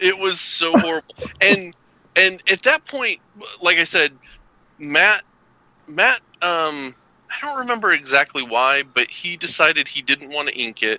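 A man with a Southern US accent speaks at a fairly slow pace, leaving long, frequent pauses. His high-pitched voice has a bright, sharp tone and very wide pitch swings, recorded with a dry, close sound and no echo. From US South (Arkansas and Kentucky). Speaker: cartoonist. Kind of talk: casual chat.

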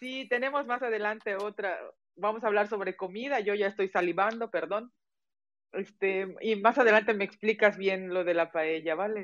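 A woman at medium pitch with ordinary pitch variation, a moderate pace and a plain, everyday voice. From Mexico, Yucatán (Mérida). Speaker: podcast host. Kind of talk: casual interview.

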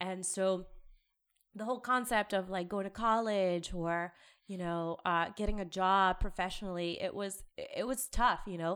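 In a very clean recording with a silent background, a woman with a normal speaking voice talks at a moderate pace and medium pitch with fairly even intonation. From US South (Athens, Georgia), born in Peru. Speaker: program manager at a tech company. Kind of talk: interview conversation.

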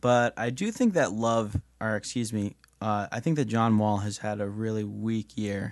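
A man with a plain, everyday voice and an American accent, fairly low in pitch, with fairly even intonation at a moderate pace, against a quiet background. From New York. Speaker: sports writer. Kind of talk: casual sports chat.

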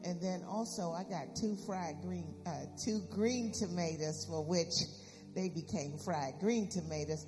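With music in the background, a woman with a fairly low pitch and ordinary pitch variation speaks at a fairly slow pace. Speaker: church announcer and prayer leader. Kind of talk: church announcements and prayer. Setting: church.

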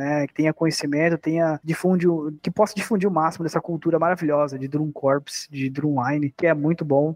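A man with a fairly high pitch at a fairly quick pace, fairly even intonation, and a dry, close sound with no echo. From Brazil, Sorocaba, interior of São Paulo. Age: 20s. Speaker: percussionist. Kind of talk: casual interview.

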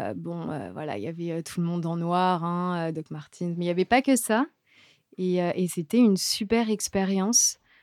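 In a very clean recording with a silent background, a woman with a medium-pitched, dark, mellow voice speaks fairly slowly with ordinary pitch variation. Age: 20s. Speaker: radio co-host. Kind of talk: casual radio chat. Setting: radio studio.

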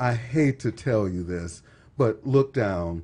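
A man with an American accent speaks in a dark, mellow tone, somewhat breathy and with lively intonation, against a quiet background. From Texas. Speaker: podcast guest. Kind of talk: casual chat.

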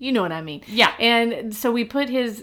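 Woman with an American accent, fairly high pitch, bright and sharp, animated tone, moderate pace, ordinary pitch variation, very clean recording with a silent background. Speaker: podcast host. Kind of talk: casual chat.

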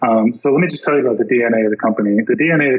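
With an American accent, a man talks as noticeable background noise goes on behind him. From Florida. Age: 40s. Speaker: product designer and entrepreneur. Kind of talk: interview.

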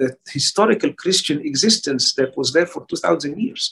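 With an Arabic accent, a man talks. His pitch swings very widely. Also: dry, close sound with no echo. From Egypt. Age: 60s. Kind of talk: interview. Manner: halting.

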